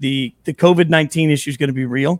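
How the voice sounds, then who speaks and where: A man with an American accent and a plain, everyday voice, fairly high in pitch with ordinary pitch variation, in a dry, close sound with no echo. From Las Vegas, US. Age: 40s. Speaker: sports TV host and former musician. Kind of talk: casual interview.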